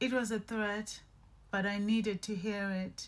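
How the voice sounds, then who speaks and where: Somewhat breathy, a woman speaks very slowly with monotone, flat intonation. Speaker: podcast host, abuse survivor. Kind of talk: personal testimony. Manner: slow, halting.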